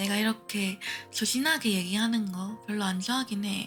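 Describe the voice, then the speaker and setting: With music in the background, a soft-spoken woman talks in a calm tone. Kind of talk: casual. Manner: soft, demure, calm.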